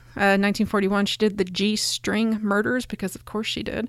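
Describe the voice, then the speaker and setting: With an unremarkable speaking voice at medium pitch, a woman talks at a moderate pace on a very clean recording with a silent background. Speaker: podcast host introducing old radio. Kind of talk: casual intro.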